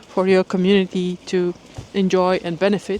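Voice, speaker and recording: A woman speaks at a medium pitch and fairly slow pace. Her intonation is monotone and flat, with noticeable background noise behind her. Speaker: vlogger. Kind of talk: vlog monologue.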